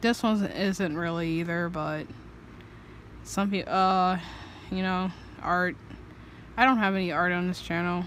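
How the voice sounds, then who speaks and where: A woman speaks quietly at a fairly slow pace, with medium pitch. Her intonation stays fairly even. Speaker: artist vlogger. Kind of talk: casual chat. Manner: hesitant.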